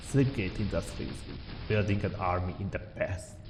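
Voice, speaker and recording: With music in the background, a man speaks in a non-native accent at a moderate pace, his fairly low pitch showing ordinary variation. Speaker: game reviewer. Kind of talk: video game commentary narration.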